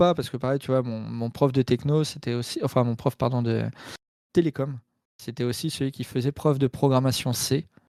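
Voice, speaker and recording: The speech moves at a moderate pace with fairly even intonation and big swings in loudness. The recording is very clean, with a silent background and a dry, close sound with no echo. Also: man. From Normandy, France. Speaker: hacker, cybersecurity engineer. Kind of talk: casual chat. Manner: hesitant, many fillers.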